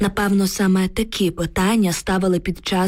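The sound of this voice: Text read in an unforced reading voice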